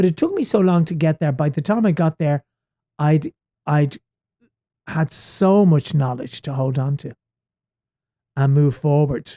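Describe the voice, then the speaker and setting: A fairly high-pitched man with an Irish accent, somewhat breathy with a dark, mellow tone, at a fairly slow pace with long, frequent pauses, ordinary pitch variation and a dry, close sound with no echo. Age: 60s. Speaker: stage actor. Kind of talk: podcast interview.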